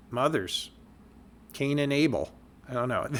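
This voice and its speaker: Talking at a fairly quick pace, a man uses a medium pitch and a bright, sharp tone. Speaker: podcast host. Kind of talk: casual podcast talk. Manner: hesitant, with filler words and stammers.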